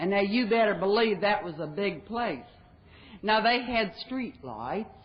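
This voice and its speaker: Audible room echo surrounds a woman with an American accent who speaks somewhat breathily at a medium pitch and a fairly slow pace, her intonation lively. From West Virginia. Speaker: recovering alcoholic speaker. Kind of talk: recovery talk. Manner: folksy, humorous.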